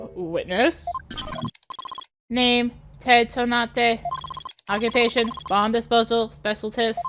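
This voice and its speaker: A woman puts on a robotic character voice, pitched fairly high. She speaks at a fairly slow pace with long, frequent pauses. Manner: flat, mechanical.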